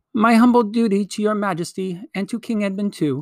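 A shrill, fairly high put-on character voice at a fairly quick pace. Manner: courtly, bowing, chivalrous.

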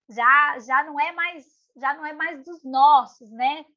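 Raised and projected, a woman's voice with a bright, sharp tone. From São Paulo periphery, Brazil. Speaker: podcast co-host. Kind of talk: casual chat about readings.

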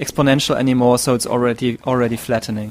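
This man speaks with a German accent. His pitch sits in the medium range. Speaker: podcast host. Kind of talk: casual chat. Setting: video call. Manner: halting.

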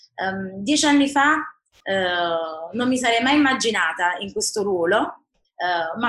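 A woman speaks at a fairly slow pace with a bright, sharp tone. Her pitch sits in the medium range but swings very widely. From Naples, Italy. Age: 30s. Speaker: politician. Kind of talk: interview.

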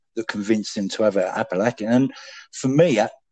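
A man talks with an English accent. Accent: British, English. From England. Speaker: podcast guest. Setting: phone. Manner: refined, eloquent delivery he says he puts on for the phone.

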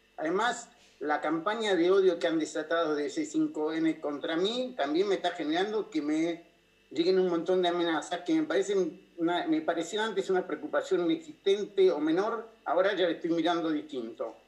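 High pitch and ordinary pitch variation in a man's voice. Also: moderate pace. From Argentina, Buenos Aires. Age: 60s. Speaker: political asylum seeker, former official. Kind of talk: interview.

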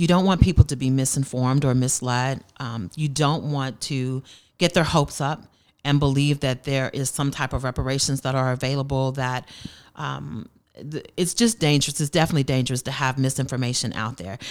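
With ordinary pitch variation, the words come at a fairly quick pace. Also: woman, very deep, low pitch for a woman. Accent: American. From Tulsa, Oklahoma. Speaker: cultural center program director. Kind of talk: interview.

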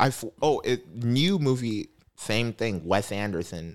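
A man with a fairly low pitch, lively intonation and a Midwestern American accent. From east side of Cleveland, Ohio. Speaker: stand-up comedian. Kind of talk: casual chat.

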